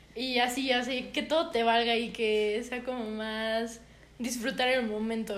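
Delivery is fairly slow and monotone, with flat intonation and audible room echo. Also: woman, fairly high pitch for a woman. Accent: Mexican. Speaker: podcast co-host. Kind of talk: casual chat. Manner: loud.

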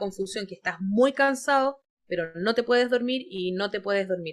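At a moderate pace, a woman in an ordinary speaking voice talks at medium pitch with fairly even intonation. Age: 30s. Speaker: clinical psychologist. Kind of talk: interview.

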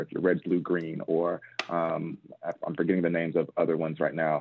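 Speaking at a fairly quick pace with an American accent, a man uses a very deep, low pitch and a monotone, flat intonation. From Texas, Nigerian parents. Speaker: pharmacist and pharma business leader. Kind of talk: podcast interview.

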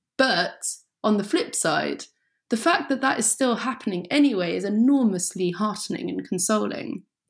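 A woman's fairly high voice carries vocal fry and lively intonation, moving at a moderate pace. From English countryside. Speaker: writer. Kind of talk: interview.

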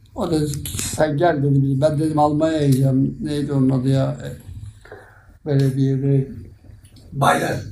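Amid noticeable background noise and audible room echo, the speech goes at a fairly slow pace with fairly even intonation and long, frequent pauses. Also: man, fairly high pitch for a man. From Turkey, Sakarya. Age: 80s+. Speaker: retired amateur footballer. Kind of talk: interview reminiscence. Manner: halting.

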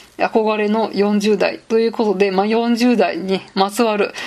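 A woman talks with medium pitch in a plain, everyday voice. Her pace is moderate and her intonation fairly even. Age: 30s. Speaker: podcast host, office worker. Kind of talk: casual solo monologue. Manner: casual, frequent fillers.

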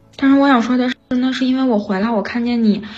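This voice belongs to a woman. The pitch moves in an ordinary way. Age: 30s. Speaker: caller, factory worker. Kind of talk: personal confession on call-in show. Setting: remote connection to live stream mic. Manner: halting with many fillers.

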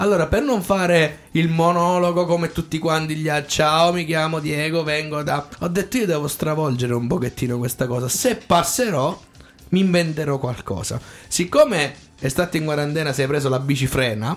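A man with a fairly high pitch uses an ordinary speaking voice, moving at a moderate pace with ordinary pitch variation. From Abruzzo, Italy (Tortoreto/Corropoli area). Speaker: singer and showman. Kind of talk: radio interview. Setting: radio studio.

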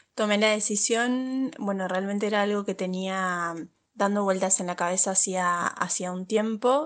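Against a quiet background, a woman with an Argentine accent speaks at a medium pitch and moderate pace with fairly even intonation. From Argentina. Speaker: legal adviser. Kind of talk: recorded voice message. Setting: WhatsApp voice recording.

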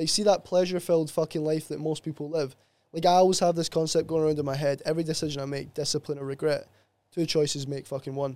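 With a Glasgow accent, a man rattles along at a very fast pace in a dark, mellow tone, his fairly high pitch held in monotone, flat intonation, all in a very clean recording with a silent background. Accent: Scottish (Glasgow area). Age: 20s. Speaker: sports therapist. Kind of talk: casual chat.

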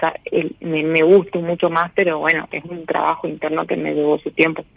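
In a flat monotone, a woman speaks at a fairly low pitch. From Misiones, Argentina. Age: 30s. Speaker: caller. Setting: phone call.

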